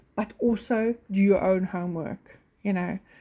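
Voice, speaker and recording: Speaking very slowly with a non-native accent, a woman uses ordinary pitch variation. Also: very clean recording, silent background. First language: not English. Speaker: orchid grower YouTuber. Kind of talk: casual vlog talk. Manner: halting, many fillers.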